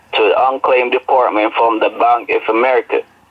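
A man speaks with a strong non-native accent. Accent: strong foreign. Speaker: phone scammer. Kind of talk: scam phone call. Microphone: phone line.

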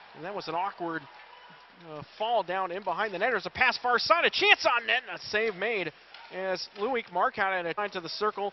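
Speaking at a fairly quick pace in a high pitch, a man's loudness swings widely, with a dry sound without echo and light background noise. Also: ordinary pitch variation. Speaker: hockey play-by-play announcer. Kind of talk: live sports commentary. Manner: rapid-fire, excited play-by-play that swells at goals; fluent, breathless call of each pass and shot. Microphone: headset.

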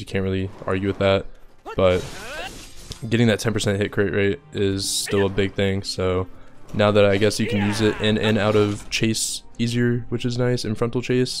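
Over music in the background, a man talks at a moderate pace in a fairly low, monotone voice with flat intonation. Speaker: gaming content creator. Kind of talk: game patch review commentary.

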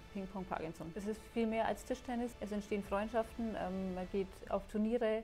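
Faint music sits in the background while a woman speaks at a moderate pace in a monotone, flat intonation. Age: 40s. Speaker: table tennis player with Parkinson's. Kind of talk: interview.

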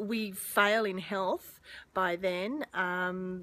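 A woman's voice with fairly even intonation. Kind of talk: casual vlog chat. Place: forest. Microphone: phone near.

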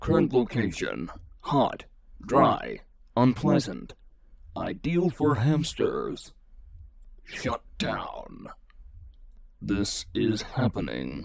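A man puts on a character voice. He speaks at a very slow pace.

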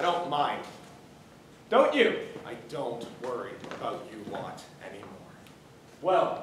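A man at a very slow pace, with audible room echo and light background noise. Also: big swings in loudness. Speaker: student actor in a play. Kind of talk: dramatic monologue. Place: stage. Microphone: camera far.

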